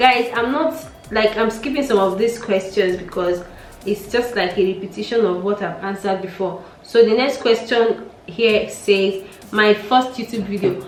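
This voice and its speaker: There is noticeable background noise as a woman speaks with a Nigerian accent. Her pace is moderate, with ordinary pitch variation. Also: medium pitch for a woman. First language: Nigerian Pidgin. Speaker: YouTuber. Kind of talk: casual vlog chat.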